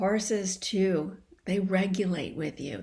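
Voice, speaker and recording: Calm in tone, a woman at medium pitch speaks at a very slow pace. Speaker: coherence practice teacher. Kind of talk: guided practice and teaching conversation. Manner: slowed, calm pace.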